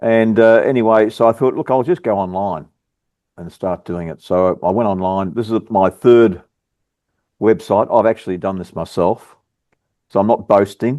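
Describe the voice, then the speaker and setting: A dark, mellow voice in an Australian accent, with ordinary pitch variation and long, frequent pauses. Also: man, fairly low pitch for a man, moderate pace. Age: 60s. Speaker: bakery business owner. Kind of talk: casual chat. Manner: halting.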